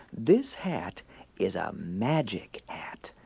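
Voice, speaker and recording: A man whispers. He uses a put-on character voice. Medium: read story.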